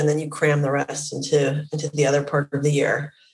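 A woman with a Western Canadian accent speaks at a very deep, low pitch. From Vancouver, Canada. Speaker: company founder and CEO. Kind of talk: interview.

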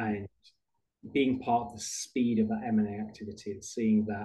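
With a British accent, a man speaks at medium pitch with fairly even intonation. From United Kingdom. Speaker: HR benefits executive. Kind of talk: interview.

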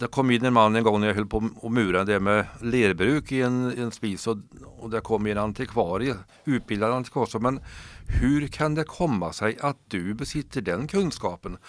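A man with an ordinary speaking voice talks at a medium pitch and moderate pace, with ordinary pitch variation. The recording is very clean, with a silent background. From Sweden, Värmland (Torsby). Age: 60s. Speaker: retired cultural worker, storyteller. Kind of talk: interview, storytelling. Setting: radio studio.

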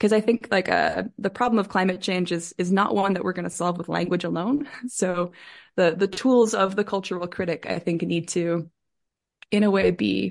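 Over a quiet background, a woman talks at a moderate pace with a fairly low pitch and vocal fry. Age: 30s. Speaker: professor. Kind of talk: interview. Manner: halting.

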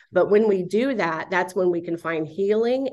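A woman with an American accent has an unremarkable speaking voice. Her pitch variation is ordinary. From South Florida. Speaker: marriage ministry director. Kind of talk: casual interview.

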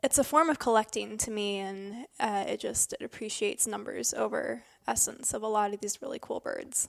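A woman in an Upper Midwest accent, with a dry, close sound and no echo. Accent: Upper Midwest American. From northern Michigan. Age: 20s. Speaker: birding guide and writer. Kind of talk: casual conversation. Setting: old church building.

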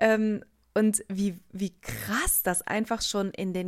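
A woman at medium pitch with ordinary pitch variation and a very slow pace. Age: 20s. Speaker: podcast host and coach. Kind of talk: solo podcast monologue. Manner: hesitant with many fillers.

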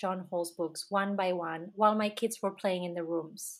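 A woman speaks with fairly even intonation in a Catalan accent. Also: very clean recording, silent background. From Catalonia, Spain. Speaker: author and homeschooling mother. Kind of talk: interview.

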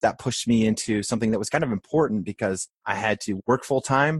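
Speaking fairly quickly with an American accent, a man has an unremarkable speaking voice at a fairly low pitch, recorded with a dry, close sound with no echo against a quiet background. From rural Maine, US. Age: 40s. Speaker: restaurant chain CEO. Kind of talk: interview conversation.

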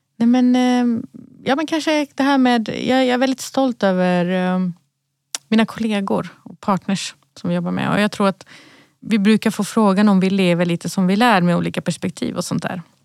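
A woman speaks in a plain, everyday voice at a medium pitch and a moderate pace, with ordinary pitch variation. The sound is dry and close, with no echo. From Sweden, Malmö (Rosengård). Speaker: company CEO. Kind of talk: podcast interview. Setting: podcast studio.

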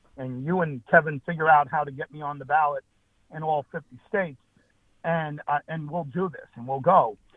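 In an American accent, a man speaks at a moderate pace. His voice is fairly high with fairly even intonation. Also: big swings in loudness. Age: 50s. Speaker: political party chair. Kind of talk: interview. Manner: halting, with repetitions.

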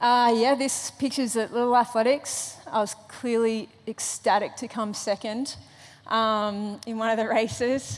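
A woman with an Australian accent speaks fairly slowly at a fairly high pitch, her intonation monotone and flat. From Australia, Sydney. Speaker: Olympic runner. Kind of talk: testimony. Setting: church stage with audience.

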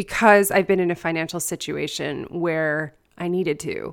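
In a very clean recording with a silent background, a woman talks in a normal speaking voice at a fairly low pitch with ordinary pitch variation. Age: 40s. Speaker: writing and book coach, podcast host. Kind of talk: casual interview.

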